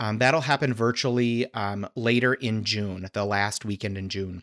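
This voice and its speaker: A plain, everyday voice with an American accent and fairly even intonation, dry and close with no echo, on a very clean recording with a silent background. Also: man. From Arizona. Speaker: dental hygiene association leader. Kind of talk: interview.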